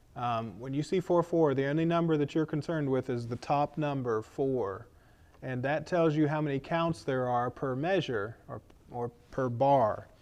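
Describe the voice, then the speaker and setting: Speaking at a moderate pace, a man has an unremarkable speaking voice, fairly high in pitch with ordinary pitch variation. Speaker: guitar teacher and hymn leader. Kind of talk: tutorial. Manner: casual, many fillers.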